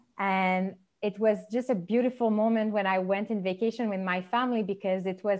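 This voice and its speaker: A woman with a Quebec accent speaks at a medium pitch in a monotone, flat intonation against a quiet background. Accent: French Canadian accent in English. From Quebec, Montreal. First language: French. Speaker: podcast host. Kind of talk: interview conversation.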